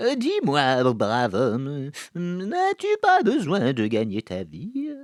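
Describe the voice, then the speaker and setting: In a very clean recording with a silent background, a man uses a put-on character voice, fairly high-pitched, at a very slow pace. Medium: read story. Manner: petulant, self-important.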